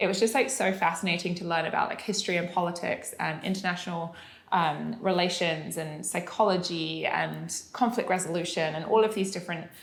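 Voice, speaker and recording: In a British accent, a woman with a fairly low pitch talks at a fairly quick pace with hardly any pauses and fairly even intonation, her voice carrying audible room echo. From UK. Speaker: entrepreneur. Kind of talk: interview conversation. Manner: casual, many fillers.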